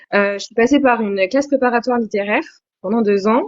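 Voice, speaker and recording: This woman has an unremarkable speaking voice, fairly high in pitch with ordinary pitch variation. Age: 20s. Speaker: novelist. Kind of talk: interview.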